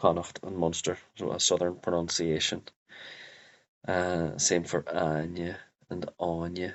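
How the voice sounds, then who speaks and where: In a Derry accent, a man with a very deep, low voice speaks fairly slowly in a monotone, flat way, with long, frequent pauses. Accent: Northern Irish (Derry). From Northern Ireland, Derry. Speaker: Irish language teacher. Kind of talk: tutorial. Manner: halting, many fillers.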